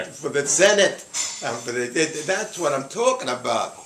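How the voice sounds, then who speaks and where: Over noticeable background noise, a man talks in a high voice with very wide pitch swings. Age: 80s+. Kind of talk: casual opinionated conversation.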